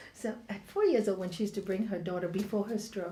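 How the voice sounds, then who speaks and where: A woman's fairly quick delivery in an ordinary speaking voice. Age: 60s. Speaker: spiritual teacher. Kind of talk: spiritual talk. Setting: yoga studio with audience.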